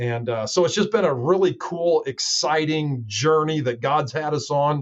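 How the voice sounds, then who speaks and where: A man with an unremarkable speaking voice, a moderate pace and ordinary pitch variation. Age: 60s. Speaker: pastor. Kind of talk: podcast interview. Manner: many fillers.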